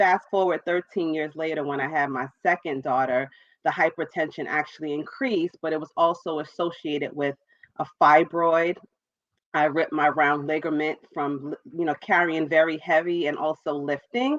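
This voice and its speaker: In a New York accent, a woman with a very deep, low pitch speaks with fairly even intonation, dry and close with no echo. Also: moderate pace. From New York, Brooklyn. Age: 40s. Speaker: entrepreneur and author. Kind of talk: interview.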